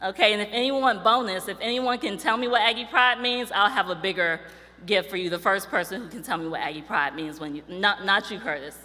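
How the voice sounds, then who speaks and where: Over noticeable background noise, a woman at a medium pitch talks at a fairly quick pace in an animated tone, with lively intonation and big swings in loudness. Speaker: university staff speaker. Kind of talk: ceremony address. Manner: fast.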